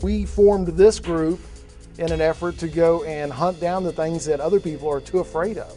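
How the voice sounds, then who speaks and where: A man talks at a moderate pace with an American accent. Music plays behind him. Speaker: haunted house owner. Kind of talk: reality TV interview.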